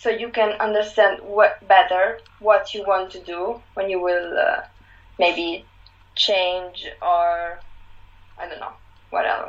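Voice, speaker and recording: Very slowly and with long, frequent pauses, a woman speaks at a medium pitch in an Italian accent, with ordinary pitch variation and big swings in loudness. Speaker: fashion website founder. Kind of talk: casual chat.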